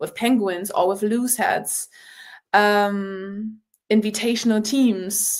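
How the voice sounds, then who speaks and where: Speaking with a German accent is a woman. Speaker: rugby player. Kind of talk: podcast interview. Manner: animated.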